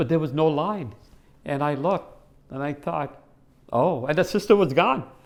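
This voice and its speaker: On a very clean recording with a silent background, a man with a fairly high pitch speaks with lively intonation. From US Northeast (Connecticut), born in India. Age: 60s. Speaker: faith testimony guest. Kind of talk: testimony. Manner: halting, many fillers and repetitions.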